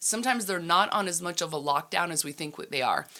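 Lively intonation and a bright, sharp tone mark a woman's voice. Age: 50s. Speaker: ministry leader speaking on generations. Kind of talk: casual chat.

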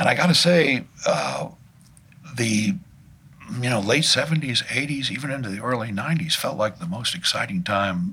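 With an American accent, a man speaks at medium pitch and a moderate pace. His pitch swings very widely, and there is noticeable background noise. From Washington, DC. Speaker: artist and arts organizer. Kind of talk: interview. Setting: studio. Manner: halting.

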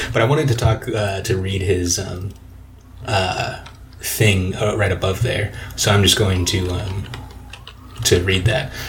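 Noticeable background noise sits behind a man talking at a fairly slow pace with long, frequent pauses. His pitch is fairly low and varies in an ordinary way. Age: 20s. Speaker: podcast co-host. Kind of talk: casual chat. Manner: smooth radio-style delivery.

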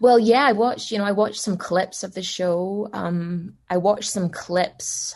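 A woman with a Scottish accent speaks at a moderate pace with ordinary pitch variation over a quiet background. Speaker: voice actor. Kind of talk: casual chat.

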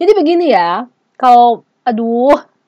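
This woman has a high pitch and an animated tone, with very wide pitch swings at a fairly slow pace. The sound is dry and close, with no echo. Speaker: researcher and podcast host. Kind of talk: casual solo podcast monologue.

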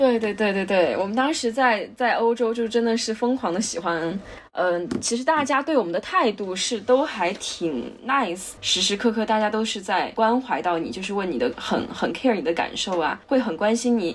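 A woman with a fairly high pitch and lively intonation speaks at a moderate pace with hardly any pauses, against noticeable background noise. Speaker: podcast co-host. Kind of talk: casual chat.

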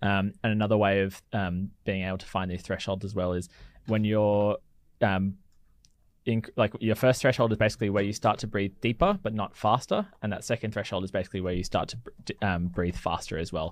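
In a very clean recording with a silent background, a man with a fairly low pitch speaks at a fairly quick pace with fairly even intonation. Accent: Australian. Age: 30s. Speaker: physiotherapist. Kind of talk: casual chat.

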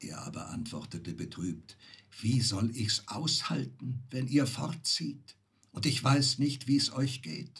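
Speaking at a very slow pace, a man with a medium pitch and vocal fry uses lively intonation and big swings in loudness. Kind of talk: fairy tale reading aloud. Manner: storyteller's calm, measured pace, shifting tone for the fish, fisherman and wife.

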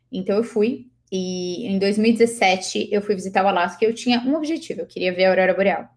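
In an unremarkable speaking voice, a woman talks at a fairly quick pace with hardly any pauses, a medium pitch, and ordinary pitch variation. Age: 20s. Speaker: author. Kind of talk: interview.

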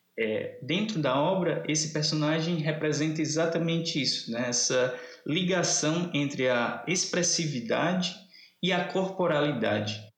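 A man talks at a fairly slow pace with very even loudness and ordinary pitch variation. Audible room echo surrounds his voice. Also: fairly high pitch for a man. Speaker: literature professor. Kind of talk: casual chat. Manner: animated.

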